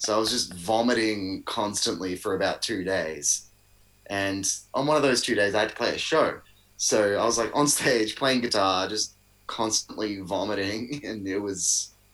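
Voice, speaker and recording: This man has a fairly low pitch and an Australian accent. His pitch varies in an ordinary way, and he talks at a moderate pace. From Melbourne, Australia. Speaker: musician. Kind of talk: casual chat. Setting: video call.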